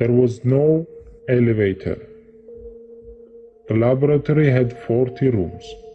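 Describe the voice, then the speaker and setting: A man with a medium-pitched voice talks over music playing in the background. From Estonia. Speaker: self-proclaimed time traveler. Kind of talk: interview testimony. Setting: undisclosed location.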